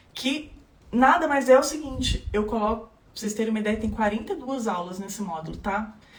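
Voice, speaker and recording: Amid audible room echo and noticeable background noise, a woman talks at a fairly quick pace with lively intonation. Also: fairly high pitch for a woman. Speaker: legal course instructor. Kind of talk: live stream tutorial. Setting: Instagram live.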